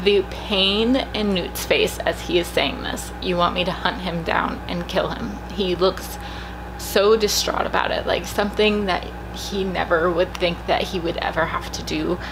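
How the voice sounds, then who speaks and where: Soft-spoken and at a fairly slow pace, a woman talks with audible room echo and noticeable background noise. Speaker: YouTuber reacting to movie trailers. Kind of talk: trailer reaction video. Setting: at home. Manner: quiet, trying to speak softly.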